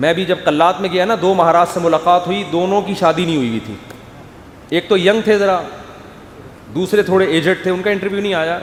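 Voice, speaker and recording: Noticeable background noise is present. Over it, a man talks with a high voice. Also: ordinary pitch variation. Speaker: Islamic preacher. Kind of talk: religious sermon (bayan) to an audience. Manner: animated, storytelling.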